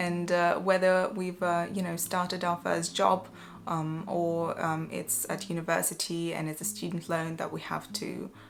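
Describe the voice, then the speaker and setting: The woman's pitch is fairly low and varies in an ordinary way. She keeps her pace moderate. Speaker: vlogger. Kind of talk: casual chat. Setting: home, evening. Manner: quiet; hesitant, many fillers.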